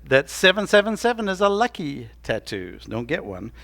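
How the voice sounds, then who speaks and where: In a very clean recording with a silent background, a man speaks in an American accent, his pitch swinging very widely. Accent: Southern US accent, noticed by locals. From Tennessee. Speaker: pastor. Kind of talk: sermon. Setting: church.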